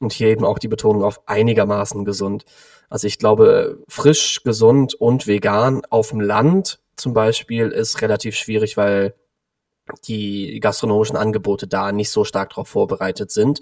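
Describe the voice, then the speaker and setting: A man speaks in a plain, everyday voice, medium in pitch, at a moderate pace. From Cologne, Germany. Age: 20s. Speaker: vegan nutrition consultant. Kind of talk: interview.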